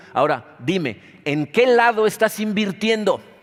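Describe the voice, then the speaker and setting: This man speaks with a high pitch. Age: 60s. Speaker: pastor. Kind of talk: sermon.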